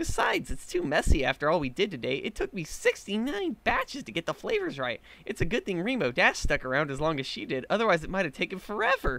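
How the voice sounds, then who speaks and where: At a very fast pace, a man does a put-on character voice pitched high. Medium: read story. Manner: bubbly, giggly.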